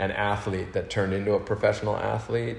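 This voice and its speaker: Recorded with audible room echo, a man speaks in an American accent with fairly even intonation. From Northern California (Berkeley), early childhood in Austria. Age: 50s. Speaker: big wave water skier, action sports athlete. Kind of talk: podcast interview.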